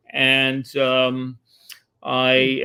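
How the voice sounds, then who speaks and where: A man is speaking. He has a New York accent. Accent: New York American English. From New York City. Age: 70s. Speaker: composer and media artist. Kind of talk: interview conversation. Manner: hesitant, many fillers.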